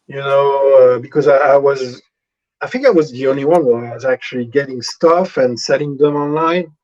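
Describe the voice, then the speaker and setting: Fairly high male voice with a French accent, fairly even intonation and a moderate pace. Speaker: convicted killer, artist. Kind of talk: live interview. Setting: video call. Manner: hesitant, many fillers.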